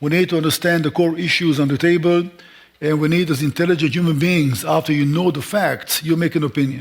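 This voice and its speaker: A man's fairly high voice at a fairly quick pace, with very even loudness and fairly even intonation. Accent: non-native. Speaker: Israel seminar speaker. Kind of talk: lecture. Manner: speeds up when points matter; emotional, frustrated.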